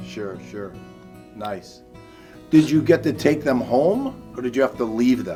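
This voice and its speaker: A man at a fairly slow pace with long, frequent pauses and big swings in loudness, music playing behind him. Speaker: assistant principal. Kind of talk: interview questions.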